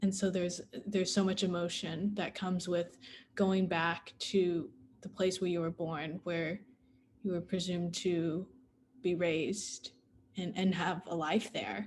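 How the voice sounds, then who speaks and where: A somewhat breathy American accent, fairly slow and monotone, with long, frequent pauses. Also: woman, fairly low pitch for a woman. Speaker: adoptee panelist. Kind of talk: panel Q&A discussion.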